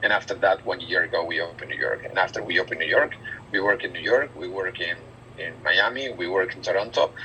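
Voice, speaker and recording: Very fast speech in a strong Spanish accent. Noticeable noise sits in the background. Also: man. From Argentina. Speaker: recruiter / business manager. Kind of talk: group job interview briefing. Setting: video call. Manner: halting, many fillers and repetitions.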